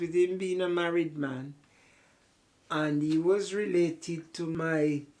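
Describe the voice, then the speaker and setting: A woman with a Jamaican accent speaks very slowly in a very deep, low pitch, her intonation fairly even. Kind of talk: interview answer.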